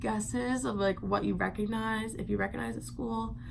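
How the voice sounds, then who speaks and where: A woman keeps a moderate pace, her voice carrying audible room echo. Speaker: vlogger. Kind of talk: casual vlog. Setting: home at night.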